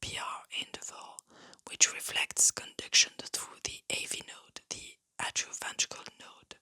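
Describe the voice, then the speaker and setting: Calm whispering at a fairly slow pace. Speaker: ASMR science educator. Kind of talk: educational ASMR lecture on heart physiology. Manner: soft-spoken, calm, relaxing.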